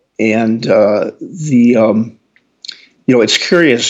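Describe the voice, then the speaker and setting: With an American accent, this man talks at a medium pitch. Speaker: physician and former space reporter. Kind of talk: interview. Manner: halting, many fillers.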